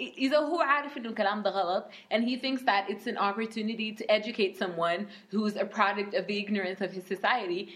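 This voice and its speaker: Amid noticeable background noise, a woman speaks at a fairly quick pace with medium pitch and ordinary pitch variation. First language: Arabic. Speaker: podcast co-host. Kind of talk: casual chat with code-switching.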